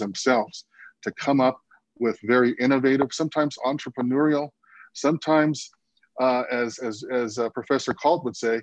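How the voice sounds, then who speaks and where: Over a quiet background, a man talks at a moderate pace with fairly even intonation and a dry sound with no echo. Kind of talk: panel discussion answer. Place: home room. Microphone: video call.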